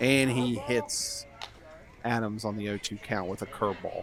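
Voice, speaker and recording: Noticeable background noise sits behind a soft-spoken man talking at a fairly slow pace. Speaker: play-by-play announcer. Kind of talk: live commentary. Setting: outdoors behind the fence at a ballfield. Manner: subdued, not too animated.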